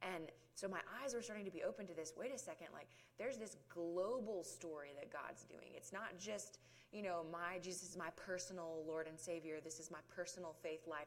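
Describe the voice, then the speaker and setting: Speaking with a Southern US accent at a moderate pace, a woman has a fairly low pitch and ordinary pitch variation. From US South (rural South Georgia). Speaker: ministry outreach worker. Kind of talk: testimony.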